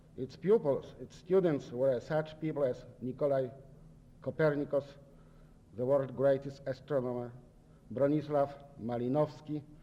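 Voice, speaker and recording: A man with a Polish accent speaks at a moderate pace with long, frequent pauses. His fairly high voice has a dark, mellow tone and fairly even intonation. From Poland. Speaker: visiting sociology professor. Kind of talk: lecture. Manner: halting.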